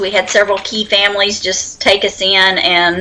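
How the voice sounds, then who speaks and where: A woman speaks at a moderate pace with an American accent, with noticeable background noise behind her. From Oklahoma, Silver City. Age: 40s. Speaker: homesteader. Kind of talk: casual chat.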